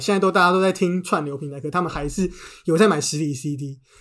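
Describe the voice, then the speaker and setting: A man's high voice at a very fast pace, on a very clean recording with a silent background. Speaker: book editor turned podcaster. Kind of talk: casual chat.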